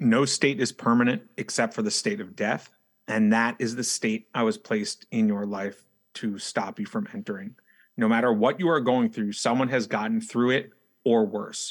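A man talks in an ordinary speaking voice with an American accent, medium pitch and a moderate pace. The recording is very clean, with a silent background. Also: ordinary pitch variation. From New York City. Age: 30s. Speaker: wellness coach and food rescue founder. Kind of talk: interview.

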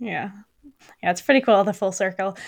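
A woman speaks with a Canadian accent and ordinary pitch variation. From Canada (Burlington, Ontario). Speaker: podcast host, digital marketer. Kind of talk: interview.

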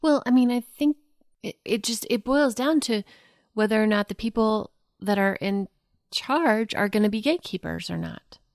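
A woman with an ordinary speaking voice talks at a moderate pace and a fairly high pitch with ordinary pitch variation. The sound is dry and close with no echo. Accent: American. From Oklahoma, US. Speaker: host's wife, guest. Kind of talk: casual chat.

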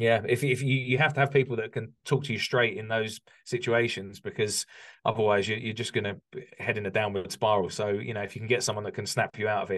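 A man with an English accent speaks very fast at a medium pitch with ordinary pitch variation. The background is quiet. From UK. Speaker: construction business coach. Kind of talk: interview conversation.

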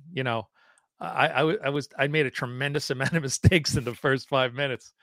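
A man with a plain, everyday voice at medium pitch and ordinary pitch variation, fairly quick pace, dry, close sound with no echo. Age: 50s. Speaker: guitar show co-host. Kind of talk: casual chat. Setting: video call.

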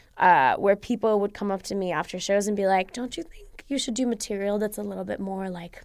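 This is a woman with an American accent. She has a medium pitch. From Egypt and the US. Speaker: stand-up comedian and data scientist. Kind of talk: casual interview.

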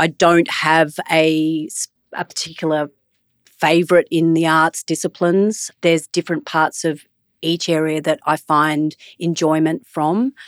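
A woman with an Australian accent speaks at a very slow pace and fairly low pitch, in a monotone, flat intonation. The sound is dry and close, with no echo. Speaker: media executive. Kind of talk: interview conversation.

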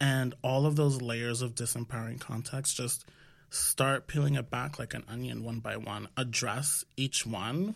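Captured in a very clean recording with a silent background, a man with an American accent speaks somewhat breathy at a fairly slow pace, with medium pitch and fairly even intonation. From New York City (Washington Heights), Dominican family. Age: 30s. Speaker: health startup founder. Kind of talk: casual interview. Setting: studio, seated at a table.

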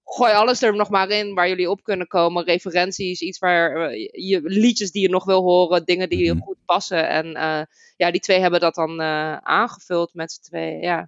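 At a moderate pace, a woman with an unremarkable speaking voice and a medium pitch speaks with fairly even intonation. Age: 30s. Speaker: game narrator. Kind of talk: casual chat.

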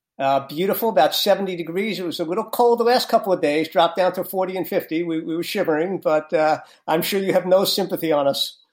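A high-pitched man with a New York accent talks at a very fast pace with hardly any pauses. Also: ordinary pitch variation. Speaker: pastor and author. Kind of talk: interview.

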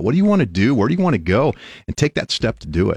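Very wide pitch swings mark this man's speech. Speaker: radio host. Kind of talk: live radio show host patter, upbeat and welcoming. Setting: radio studio. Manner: warm, animated, upbeat.

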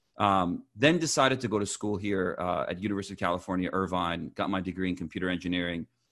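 Against a quiet background, a man with a very deep, low pitch talks at a very fast pace with hardly any pauses and ordinary pitch variation. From US Midwest (Champaign, Illinois), born in Iran. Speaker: entrepreneur. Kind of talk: interview. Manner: halting, many fillers.

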